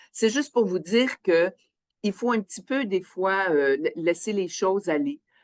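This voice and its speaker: Recorded with a dry, close sound and no echo, a woman in a Quebec accent speaks at a fairly slow pace and medium pitch with lively intonation. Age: 60s. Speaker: biosafety officer, scientist. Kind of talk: interview testimony. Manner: hesitant, with fillers.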